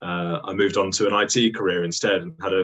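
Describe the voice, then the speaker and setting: With a British accent, a man talks at a moderate pace in a fairly low pitch, his pitch varying in an ordinary way. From UK. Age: 20s. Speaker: paramotor and hot air balloon pilot. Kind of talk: casual interview. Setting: video call.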